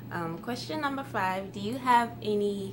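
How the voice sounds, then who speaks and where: The speech is very slow, with very wide pitch swings. Room echo is audible, and background noise is noticeable. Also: woman. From Ghana. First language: Twi. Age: 20s. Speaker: YouTuber. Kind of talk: casual vlog Q&A.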